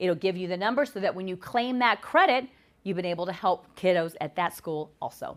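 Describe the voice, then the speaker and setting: The woman talks at a fairly quick pace. Her medium pitch shows ordinary variation. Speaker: nonprofit executive director. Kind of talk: live webinar presentation. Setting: live webinar on camera. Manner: fast.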